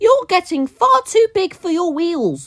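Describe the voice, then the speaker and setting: This put-on character voice is squeaky and extremely high-pitched, delivered at a fairly slow pace. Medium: read story.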